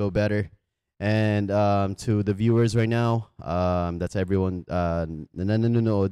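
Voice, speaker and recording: In a dry sound with no echo and a quiet background, a man's dark, mellow tone carries fairly even intonation. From Philippines. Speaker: podcast host promoting barber booking app. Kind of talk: casual interview chat. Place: shop.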